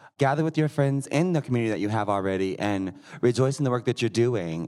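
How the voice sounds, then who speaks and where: With an American accent and an ordinary speaking voice, a man talks at a fairly quick pace and medium pitch with lively intonation, recorded very cleanly against a silent background. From Missouri. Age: 20s. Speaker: drag performer. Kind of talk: live panel discussion. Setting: stage with audience.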